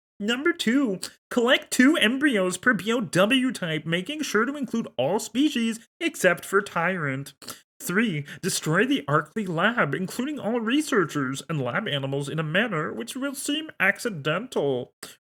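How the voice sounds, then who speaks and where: Someone uses a put-on character voice at a fairly high pitch and moderate pace, with very wide pitch swings. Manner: bad impression, reading a briefing.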